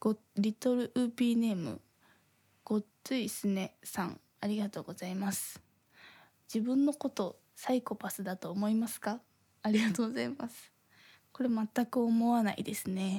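In a very clean recording with a silent background and a dry, close sound with no echo, a woman speaks in a dark, mellow, somewhat breathy tone, with ordinary pitch variation and big swings in loudness. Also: fairly high pitch for a woman, moderate pace. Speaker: podcast host. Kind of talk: casual chat. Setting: home recording in thin-walled apartment. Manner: airheaded-sounding way of talking.

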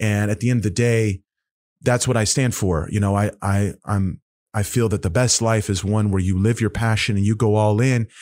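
Speaking in a normal speaking voice with an American accent, a man keeps a moderate pace, very even loudness and fairly even intonation at a fairly low pitch, in a very clean recording with a silent background. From Oklahoma. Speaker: jiu-jitsu world champion. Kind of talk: casual interview.

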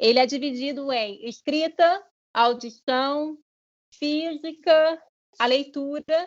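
A woman talks at a very slow pace in a high pitch. Her pitch varies an ordinary amount. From Brazil, Vila Velha (Espírito Santo). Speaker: marketing analyst and immigrant. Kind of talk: interview. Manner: animated.

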